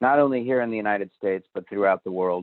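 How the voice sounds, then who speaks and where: The man's pitch sits in the medium range and varies in an ordinary way. He has an ordinary speaking voice. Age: 60s. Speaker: nurse educator presenting a public health webinar. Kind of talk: webinar presentation.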